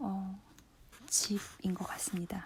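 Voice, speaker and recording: Her voice is somewhat breathy, with a dark, mellow tone. The woman speaks at a medium pitch and a very slow pace. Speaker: book-reading radio host. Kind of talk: relaxed radio-style book reading, sleep listening.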